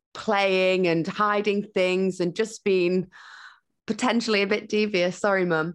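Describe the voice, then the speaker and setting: With a West Yorkshire accent, a woman of medium pitch speaks at a fairly slow pace. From northern England, Huddersfield. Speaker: broadcaster and entrepreneur. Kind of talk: casual interview chat.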